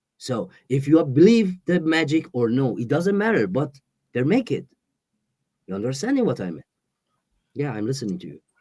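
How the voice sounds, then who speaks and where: Speaking at a moderate pace with a Persian accent, a man uses a dark, mellow tone, big swings in loudness, and long, frequent pauses. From Iran. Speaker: exiled musician. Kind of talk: interview. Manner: halting.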